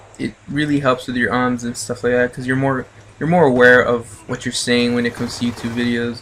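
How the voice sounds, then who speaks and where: A man talks in a monotone, flat intonation at a medium pitch. Noticeable background noise sits behind him. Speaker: video game commentator. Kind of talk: gameplay commentary talk. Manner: hesitant, many filler words.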